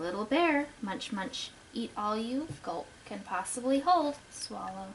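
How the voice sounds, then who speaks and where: With clear background noise behind her, a woman takes on a put-on character voice at a fairly high pitch and a fairly slow pace. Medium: read story.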